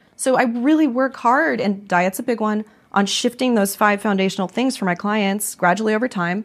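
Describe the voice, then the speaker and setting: An unremarkable speaking voice in an American accent moves at a moderate pace with hardly any pauses and ordinary pitch variation, on a very clean recording with a silent background. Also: woman, fairly high pitch for a woman. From Las Vegas, Nevada. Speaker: naturopathic doctor. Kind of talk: interview.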